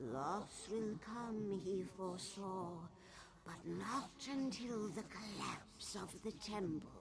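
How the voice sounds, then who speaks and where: A put-on character voice at middle pitch goes at a very slow pace over clear background noise. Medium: machinima. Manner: regal, aloof.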